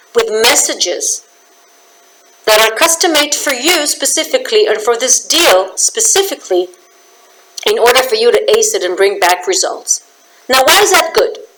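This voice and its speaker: Her pitch is high and swings very widely, at a moderate pace with long, frequent pauses. This woman keeps a very even loudness over noticeable background noise. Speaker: business communication trainer. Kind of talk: promotional talk to camera. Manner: animated.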